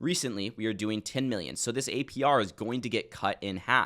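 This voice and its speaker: A man with lively intonation, on a very clean recording with a silent background. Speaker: crypto investing educator. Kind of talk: screen-share tutorial. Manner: fast; casual.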